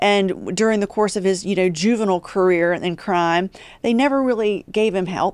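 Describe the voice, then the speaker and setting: A woman with a West Virginia accent at medium pitch and moderate pace, her loudness very even, on a very clean recording with a silent background. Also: ordinary pitch variation. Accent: Appalachian West Virginia accent, noticeable. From West Virginia, Appalachia (Huntington). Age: 40s. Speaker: criminal justice policy expert, former prosecutor. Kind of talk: podcast interview.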